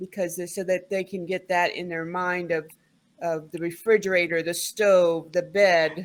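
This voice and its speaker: A woman speaks with a slight Southern US accent. Her fairly low voice stays monotone and flat. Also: moderate pace. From US South. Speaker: English tutor. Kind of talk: online tutoring conversation.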